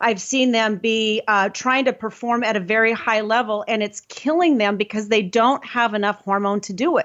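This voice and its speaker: This is an unremarkable speaking voice at a moderate pace with ordinary pitch variation. There are hardly any pauses. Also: woman, fairly high pitch for a woman. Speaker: hormone health practitioner. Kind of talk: casual chat.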